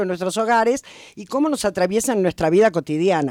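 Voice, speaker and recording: A woman with a porteño accent on a very clean recording, background silent. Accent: porteño (Buenos Aires). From Buenos Aires, Argentina. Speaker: historian and popular educator. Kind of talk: radio interview.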